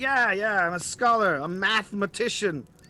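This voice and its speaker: A man's wheezy, high-pitched put-on character voice at a moderate pace, in a very clean recording with a silent background. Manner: amused.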